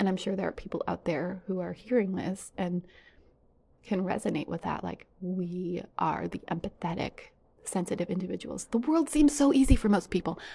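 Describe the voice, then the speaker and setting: This woman speaks at a medium pitch and a moderate pace, with lively intonation. Her tone is dark and mellow, with vocal fry. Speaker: podcaster sharing personal experience. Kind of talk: personal monologue.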